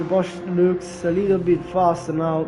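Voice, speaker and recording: A man with a high voice speaks at a moderate pace in a room with audible echo while music plays in the background. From Italy. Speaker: sim racing commentator. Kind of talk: live commentary.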